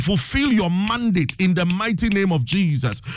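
The speaker sounds animated, with a Ghanaian accent. Noticeable background noise sits behind the voice. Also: man. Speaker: preacher and radio host. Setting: radio studio broadcast. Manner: animated, emphatic, urgent, exhorting the listeners.

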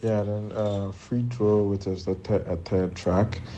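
A man speaks fairly slowly in a monotone, flat delivery. Noticeable background noise and audible room echo fill the recording. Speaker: rapper. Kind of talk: recorded interview.

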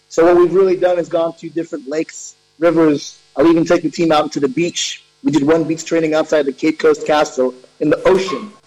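A high-pitched male voice at a fairly quick clip, fairly even in intonation, with music in the background. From Ghana. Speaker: water polo coach. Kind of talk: interview. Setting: video call.

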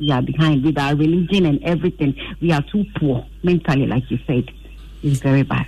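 A woman with a very deep, low pitch and a dark, mellow tone speaks with vocal fry at very even loudness. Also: ordinary pitch variation, fairly quick pace. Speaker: radio call-in caller. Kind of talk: phone-in comment.

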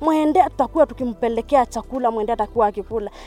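Noticeable background noise surrounds a woman who speaks very fast in a high pitch with lively intonation. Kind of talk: testimony. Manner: halting.

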